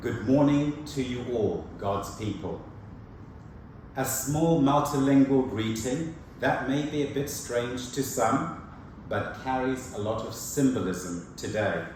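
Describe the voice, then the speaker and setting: This man, with a Zimbabwean accent, speaks at a medium pitch with ordinary pitch variation. His pace is very slow, and room echo is audible. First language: Shona. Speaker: preacher. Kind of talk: sermon.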